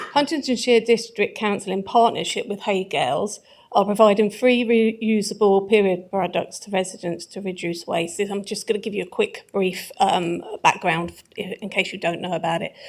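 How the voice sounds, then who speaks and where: In a very clean recording with a silent background, a woman speaks with an English accent. Her medium-pitched voice shows ordinary pitch variation. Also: moderate pace, big swings in loudness. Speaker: councillor, executive member. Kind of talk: council meeting answer.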